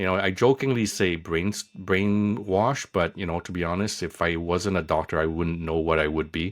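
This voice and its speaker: Very clean recording, silent background. A man with a very deep, low pitch talks at a moderate pace with fairly even intonation. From Quebec, Montreal area. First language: Vietnamese/Cantonese background; French first learned. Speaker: emergency physician. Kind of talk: interview conversation.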